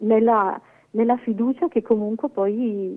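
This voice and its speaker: Fairly slow speech from a woman, fairly high in pitch, with ordinary pitch variation. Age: 50s. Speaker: cloistered nun. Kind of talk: testimony. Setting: phone call. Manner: halting.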